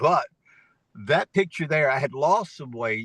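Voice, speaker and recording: At a moderate pace, a man with a fairly high pitch is heard in a dry, close sound with no echo. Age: 60s. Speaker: network marketing presenter. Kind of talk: sales pitch. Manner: animated.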